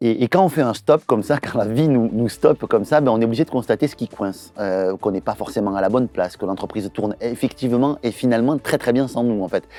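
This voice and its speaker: This man has a Toulouse accent and a dark, mellow tone at a medium pitch, with ordinary pitch variation. He talks at a very fast pace, and the sound is dry and close with no echo. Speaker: entrepreneur and business trainer. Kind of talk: promotional launch video. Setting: in front of a camera. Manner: hesitant, many filler sounds.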